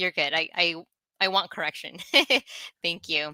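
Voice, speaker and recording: A woman speaks with a Spanish accent in a bright, sharp tone. The sound is dry and close with no echo, on a very clean recording over a silent background. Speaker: nurse, recurring segment co-host. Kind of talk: live podcast chat, reading viewer comments.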